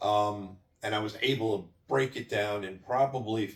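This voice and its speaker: A man speaks in a plain, everyday voice. His pitch varies in an ordinary way. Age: 60s. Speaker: cross-country road rally driver. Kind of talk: personal recap of an event. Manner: repetitive false starts.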